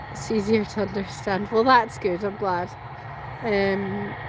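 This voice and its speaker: There is audible room echo and noticeable background noise as a woman of medium pitch, with a slight Scottish accent, speaks at a fairly slow pace. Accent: Scottish, mild. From Scotland. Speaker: plane spotter live streamer. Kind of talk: live stream chat. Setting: outdoors at airport.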